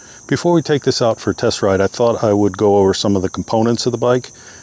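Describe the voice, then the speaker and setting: Amid noticeable background noise, a man with a fairly low pitch talks at a very fast pace. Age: 60s. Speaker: product reviewer. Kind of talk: product review tutorial. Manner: casual, with frequent fillers.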